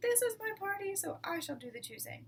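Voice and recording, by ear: In a put-on character voice, a woman talks at an extremely high pitch with big pitch swings and a fairly quick pace.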